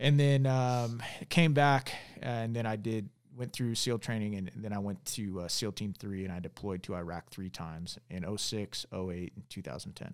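An unremarkable speaking voice from a man with an American accent, fairly low pitch, fairly slow pace and ordinary pitch variation on a very clean recording with a silent background. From Arizona, Tucson. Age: 40s. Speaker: former navy commando, congressional candidate. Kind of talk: casual interview chat.

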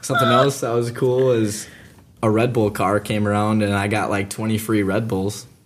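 A man with an American accent talks at a fairly low pitch and moderate pace in monotone, flat intonation, with noticeable background noise. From Minnesota (Breckenridge). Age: young (19). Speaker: college student. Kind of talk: casual chat.

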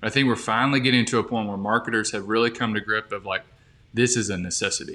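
A man with an Alabama accent at a medium pitch, very fast in pace and fairly even in intonation. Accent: Southern US (Alabama). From US South, Birmingham, Alabama. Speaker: marketing specialist. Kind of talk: podcast interview.

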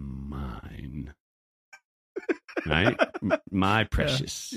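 A man's put-on character voice with a very deep, low pitch. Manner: menacing.

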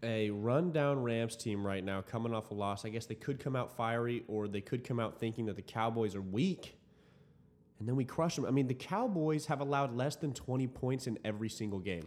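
A man with an unremarkable speaking voice and an American accent, medium in pitch, ordinary in pitch variation, at a fairly quick pace. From Dallas-Fort Worth, Texas. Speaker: student podcast host. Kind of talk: casual chat.

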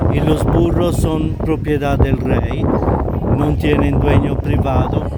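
A man speaks very slowly amid audible room echo and noticeable background noise. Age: 50s. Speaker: tour guide. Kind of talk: interview.

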